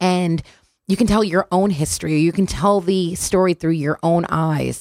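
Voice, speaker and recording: In a very clean recording with a silent background and a dry, close sound with no echo, a woman of medium pitch speaks at a moderate pace in an animated, enthusiastic tone. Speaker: radio host. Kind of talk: casual radio talk show. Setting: radio studio.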